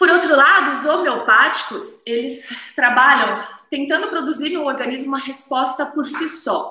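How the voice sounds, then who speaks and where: A woman with a high voice speaks at a moderate pace in a raised, projected voice, with audible room echo. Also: ordinary pitch variation. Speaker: naturopathy teacher. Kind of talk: live stream lecture. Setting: live stream on camera.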